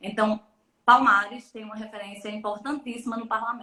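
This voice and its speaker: A woman speaks with a Pernambuco accent in a fairly high pitch. Her tone is bright and sharp, with fairly even intonation. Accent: less drawn-out Pernambuco accent than host's. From Pernambuco backcountry, Brazil (Bodocó). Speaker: electoral lawyer and professor. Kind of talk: live-stream interview. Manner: talkative, many hesitations and repetitions.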